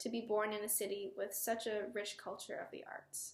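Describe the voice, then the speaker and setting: A woman talks at a moderate pace. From US Midwest, Chicago area (Palatine, Illinois). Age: 20s. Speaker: violinist. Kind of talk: prepared personal statement.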